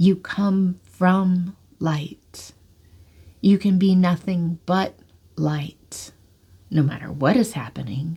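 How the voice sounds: A woman uses a booming, put-on character voice, fairly low in pitch, and speaks very slowly.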